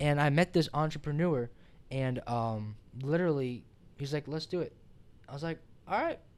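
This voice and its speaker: With long, frequent pauses, a man talks in an animated tone at a fairly high pitch with ordinary pitch variation. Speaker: podcast host. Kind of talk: casual chat. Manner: fast, mumbling.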